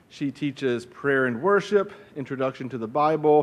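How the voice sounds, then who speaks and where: The man's pitch varies in an ordinary way as he speaks at a moderate pace. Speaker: faculty host introducing speaker. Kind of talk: formal introduction speech. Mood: warm, light humor. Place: hall. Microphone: podium.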